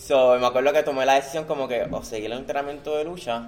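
This man's pitch sits fairly high and moves in an ordinary way. He talks at a very fast pace. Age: 20s. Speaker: professional wrestler and teacher. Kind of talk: interview.

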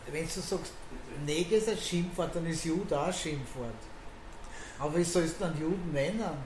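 A woman speaks at a moderate pace with fairly low pitch, ordinary pitch variation, and long, frequent pauses. The room echo is audible and background noise is noticeable. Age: 70s. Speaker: bar owner. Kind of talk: casual chat. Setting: in a bar.

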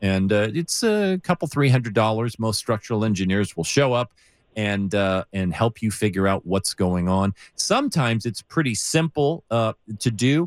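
A man speaks at a moderate pace with an American accent. The sound is dry and close, with no echo. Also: lively intonation. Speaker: radio host. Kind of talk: call-in radio show. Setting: radio studio, live broadcast.

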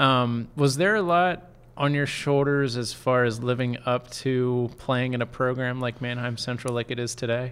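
A man with an American accent and an ordinary speaking voice, medium in pitch, with fairly even intonation, a moderate pace and hardly any pauses. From Lancaster County, Pennsylvania. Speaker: sports reporter and podcast host. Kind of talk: podcast interview.

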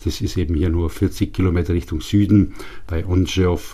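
Somewhat breathy and dark, mellow in tone, a man speaks in a very deep, low pitch at a fairly slow pace with fairly even intonation. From Upper Bavaria, Germany. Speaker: institute director, physical chemist. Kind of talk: interview. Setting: studio.

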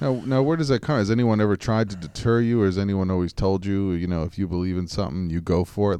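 Against a quiet background, a man with an American accent speaks very fast in a very deep, low pitch, with a dark, mellow tone and ordinary pitch variation. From New York. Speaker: online radio show host. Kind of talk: interview.

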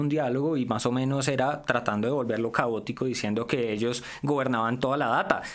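Noticeable background noise sits under a man's medium-pitched voice, which moves at a moderate pace with fairly even intonation. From Colombia, Valle del Cauca. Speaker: tech commentator. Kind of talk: casual chat.

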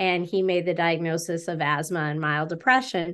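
Over a quiet background, a woman with a plain, everyday voice speaks at a fairly low pitch with fairly even intonation. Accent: American. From western New York. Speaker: author and speaker. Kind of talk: interview.

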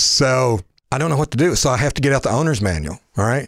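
Here is a man with an ordinary speaking voice at a medium pitch, talking at a fairly quick pace. The recording is very clean with a silent background and a dry, close sound with no echo. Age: 60s. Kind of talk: casual chat.

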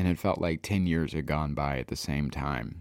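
A man with an American accent has a dark, mellow tone, ordinary pitch variation and a moderate pace, on a very clean recording with a silent background. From US Midwest. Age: 30s. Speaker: podcast host and comedian. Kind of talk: casual interview chat.

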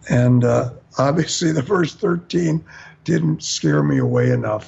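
Somewhat breathy, a man with an American accent speaks at medium pitch with very wide pitch swings. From US Midwest. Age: 60s. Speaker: singer and bandleader. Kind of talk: casual chat.

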